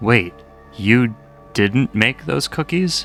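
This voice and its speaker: Over clear music in the background, a man does a put-on character voice at a medium pitch. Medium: read story. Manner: blunt, folksy.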